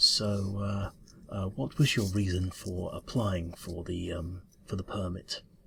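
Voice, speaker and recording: A man mumbles in a put-on character voice with a very deep, low pitch. He goes at a fairly slow pace. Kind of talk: ASMR roleplay. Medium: solo performance. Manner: mumbling, hesitant, stammering.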